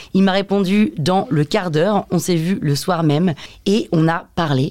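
The woman talks fairly slowly, her pitch varying in an ordinary way. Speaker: podcast host. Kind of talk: casual interview.

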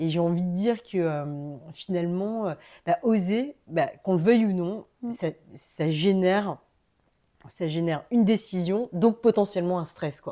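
On a very clean recording with a silent background, a woman speaks at a fairly slow pace with a dark, mellow tone, medium pitch and ordinary pitch variation. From Paris, France. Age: 40s. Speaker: entrepreneur. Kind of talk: casual interview. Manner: hesitant, many fillers.

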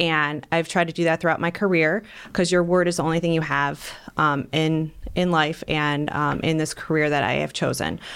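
A woman's very deep, low voice in a flat monotone at a moderate pace, on a very clean recording with a silent background. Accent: Northeast Ohio. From Ohio, North Ridgeville. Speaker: lawyer and judicial candidate. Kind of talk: interview.

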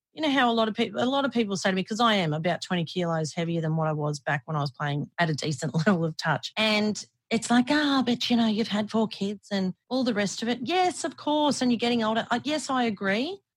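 A woman with an Australian accent, a fairly high pitch, very wide pitch swings and a somewhat breathy voice, at a very fast pace with hardly any pauses, in a dry, close sound with no echo. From Australia (Brisbane). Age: 40s. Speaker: former radio host and athlete. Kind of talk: casual interview chat.

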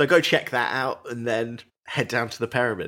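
This man speaks with a British accent at a moderate pace and a medium pitch. The recording is very clean, with a silent background. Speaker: podcast host. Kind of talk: casual chat.

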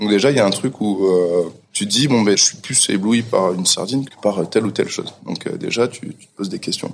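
A man with a fairly low pitch has an unremarkable speaking voice. His loudness swings widely. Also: ordinary pitch variation, fairly quick pace. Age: 30s. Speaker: chef. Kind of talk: casual chat.

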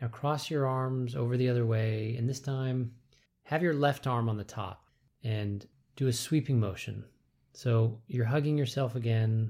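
A man's dark, mellow, somewhat breathy voice, calm and soothing in tone, with fairly even intonation. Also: medium pitch for a man. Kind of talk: guided movement meditation instruction. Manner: slow, calm, soothing, measured.

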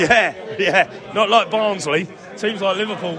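Over noticeable background noise, a man uses a raised, projected voice pitched high. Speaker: fan. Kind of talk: casual post-match fan chat.

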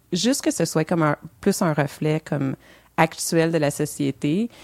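Recorded very cleanly and dry and close, with no echo and a silent background, a woman speaks in a Quebec accent with ordinary pitch variation. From Montreal, Quebec. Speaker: co-founder of a diversity initiative in the beer industry. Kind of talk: podcast interview.

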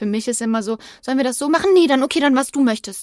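An ordinary speaking voice at a fairly quick pace, with ordinary pitch variation. The sound is dry and close, with no echo. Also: woman. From Germany, Übach-Palenberg near Aachen. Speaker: true crime podcaster. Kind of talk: casual storytelling chat.

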